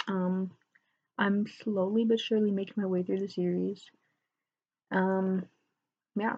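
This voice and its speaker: A soft-spoken woman's voice with a medium pitch and a dark, mellow tone. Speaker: book vlogger. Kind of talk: casual chat.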